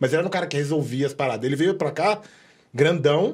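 Over a quiet background, a somewhat breathy man speaks at a very fast pace. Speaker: podcast host or guest. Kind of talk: casual chat. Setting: studio. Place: studio. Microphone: studio mic.

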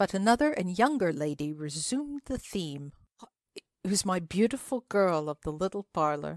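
Someone uses a natural reading voice against a quiet background.

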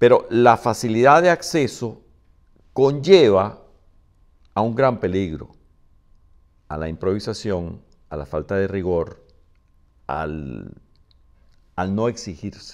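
Against a quiet background, a man speaks very slowly in a fairly low pitch, with very wide pitch swings, big swings in loudness, and long, frequent pauses. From Venezuela. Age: old. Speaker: film director; interviewee. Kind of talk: interview. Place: home room. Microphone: lapel.

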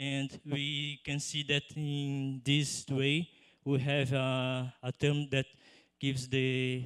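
In a Portuguese accent, a man talks at a fairly high pitch. His intonation is monotone and flat, over a quiet background. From Brazil. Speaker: PhD student; conference presenter. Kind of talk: conference poster pitch. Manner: halting. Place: hall. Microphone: handheld.

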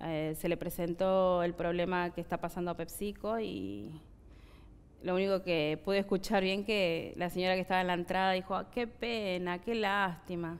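The woman's intonation stays fairly even. Her pace is moderate. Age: 30s. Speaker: factory worker. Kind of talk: interview. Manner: halting. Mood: sad, earnest. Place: studio. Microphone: headset.

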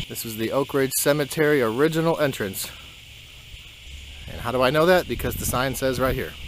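Over light background noise, a man talks at a fairly quick pace with ordinary pitch variation, and the sound is dry with no echo. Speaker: family vlogger. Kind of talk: casual vlog chat. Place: open country. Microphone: phone near.

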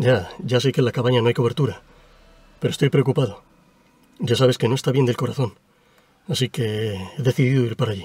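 A man's somewhat breathy voice at a very fast pace, with a dry sound and no echo. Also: ordinary pitch variation. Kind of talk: acted phone call. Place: car. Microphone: camera far.

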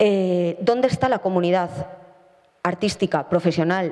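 A woman speaks at a fairly slow pace in a fairly low, dark, mellow voice with ordinary pitch variation.

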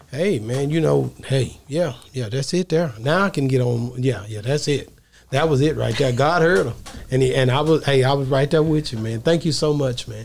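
In a Southern US accent, a man speaks at a moderate pace, somewhat breathy, with ordinary pitch variation. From Texas. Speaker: podcast host. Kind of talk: casual interview. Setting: studio. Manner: animated. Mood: warm, earnest. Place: studio. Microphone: studio mic.

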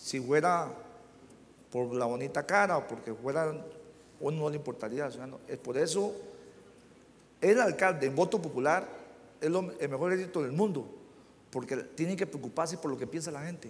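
A man with a Costa Rican accent talks at a moderate pace, with long, frequent pauses. His voice is fairly high for a man and lively in intonation. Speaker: mayor. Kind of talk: panel discussion. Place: hall. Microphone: lapel.

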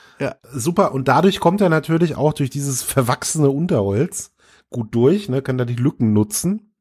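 A man speaks with a fairly high pitch and a somewhat breathy quality. His intonation is lively, his pace moderate, and the recording very clean with a silent background. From Franconia, Germany. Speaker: podcast host. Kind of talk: casual chat.

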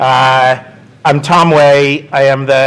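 A man at medium pitch, fairly bright in tone, with ordinary pitch variation

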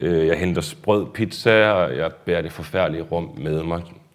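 The voice belongs to a man. Its pitch is very deep and low, with fairly even intonation. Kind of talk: lecture. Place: hall. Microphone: lapel.

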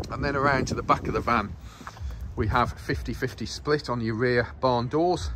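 A man talks at a moderate pace while noticeable background noise carries on. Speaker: van salesperson. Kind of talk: sales walkaround commentary. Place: street. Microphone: phone near.

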